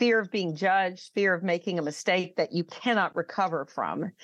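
Recorded with a dry, close sound and no echo, a woman with an American accent has a plain, everyday voice at a medium pitch with ordinary pitch variation. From US South. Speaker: speaking coach and author. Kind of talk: interview.

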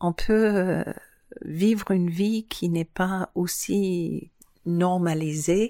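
A woman's dark, mellow voice at medium pitch and a very slow pace, with very even loudness and fairly even intonation. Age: 50s. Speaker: island resident, former wine estate worker. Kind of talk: interview.

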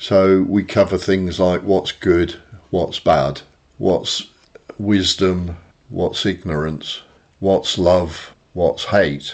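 At a very slow pace, a man with a very deep, low voice speaks with fairly even intonation. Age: 60s. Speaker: engineer and spiritual group member. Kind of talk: casual conversation. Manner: halting.

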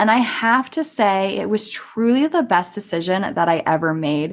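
An ordinary speaking voice, this woman talks with an American accent at a moderate pace in a medium pitch, her intonation lively, on a very clean recording with a silent background. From California. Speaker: podcast host and business tech mentor. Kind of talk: personal storytelling monologue. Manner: casual, conversational.

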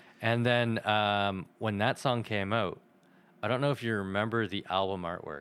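A man has an unremarkable speaking voice, fairly low in pitch, and keeps his intonation fairly even while moving at a moderate pace. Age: 30s. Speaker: podcast guest, anime fan. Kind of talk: casual chat.

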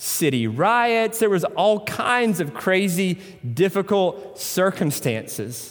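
A man is speaking. He has a Tennessee accent. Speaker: pastor. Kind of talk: sermon.

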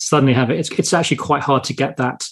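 His speech comes out very fast. The man has a British accent. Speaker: podcast host. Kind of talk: interview.

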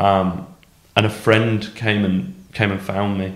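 Audible room echo surrounds a man's voice. His pitch is fairly low, with ordinary pitch variation. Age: 30s. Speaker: amateur rugby league player. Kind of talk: personal testimony in casual interview.

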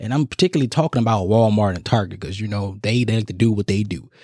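At a fairly quick pace, a man speaks in an animated tone at a medium pitch, the sound dry and close with no echo. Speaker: podcast host. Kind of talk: angry comic rant. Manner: indignant, animated, sarcastic; casual, slangy, conversational.

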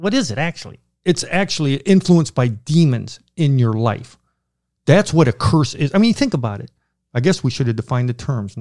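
On a very clean recording with a silent background, a man talks at a fairly quick pace with a fairly high pitch and lively intonation. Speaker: pastor and theologian. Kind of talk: podcast Q&A answering theology questions. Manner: intense; fast.

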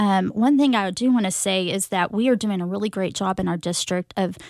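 A woman with an American accent speaks at a moderate pace and medium pitch. The sound is dry and close with no echo, on a very clean recording with a silent background. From Texas, Mesquite (Dallas area). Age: 40s. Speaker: school librarian. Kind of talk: interview. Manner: hesitant, many fillers.

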